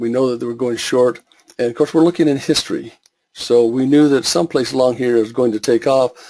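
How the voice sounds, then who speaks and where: Talking at a fairly quick pace, a man with a medium pitch keeps his intonation fairly even. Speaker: forex trading educator. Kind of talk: webinar tutorial. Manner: fast; halting with fillers.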